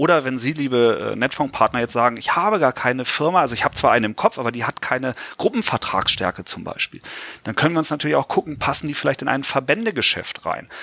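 A bright, sharp tone at a very fast pace, dry and close with no echo. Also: man, medium pitch for a man. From Lower Saxony, Germany (Göttingen). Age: 40s. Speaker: insurance pension expert. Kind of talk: podcast interview.

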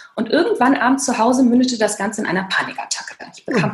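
A woman talks very fast at a fairly high pitch over noticeable background noise. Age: 40s. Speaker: author and burnout coach. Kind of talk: interview.

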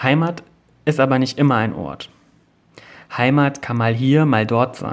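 Medium in pitch, a man's voice holds fairly even intonation. He speaks very slowly. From Germany, near Bad Ems / Koblenz (Rhineland-Palatinate). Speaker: magazine editor. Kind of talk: scripted narration.

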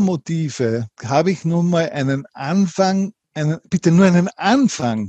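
A man's fairly high pitch carries lively intonation and a dark, mellow tone, with a dry, close sound and no echo. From Austria, Linz, Upper Austria. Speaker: entrepreneur and author. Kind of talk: interview.

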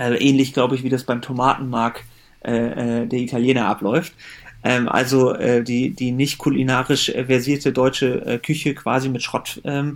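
A man with a medium pitch, fairly even intonation, and an ordinary speaking voice. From Germany. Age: 30s. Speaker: company founder. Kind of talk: interview.

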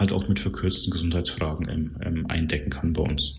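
Speaking fairly quickly with vocal fry and ordinary pitch variation, a man is heard against audible room echo. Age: 30s. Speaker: insurance broker account manager. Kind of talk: podcast interview.

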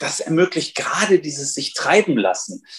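The speaker is a man. He talks at a moderate pace. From northern Hesse, Germany. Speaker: journalist and nonfiction author. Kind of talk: interview. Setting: remote call.

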